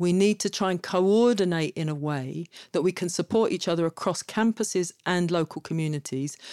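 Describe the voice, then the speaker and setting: On a very clean recording with a silent background, a woman speaks at a moderate pace with a dry, close sound and no echo. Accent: London. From London, Kilburn. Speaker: activist and academic. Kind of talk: casual conversation.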